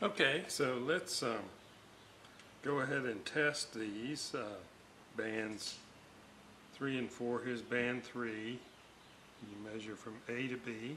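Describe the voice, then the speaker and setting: Over light background noise, a man with a medium pitch and ordinary pitch variation speaks at a very slow pace with long, frequent pauses. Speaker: radio restoration hobbyist. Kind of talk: tutorial. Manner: casual, hesitant with fillers. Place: workshop.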